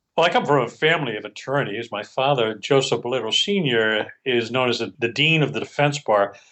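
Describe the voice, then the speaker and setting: A man talks fairly quickly with hardly any pauses, in a normal speaking voice. His pitch is medium, with ordinary pitch variation. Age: 60s. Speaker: criminal defense attorney. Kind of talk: interview. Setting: studio.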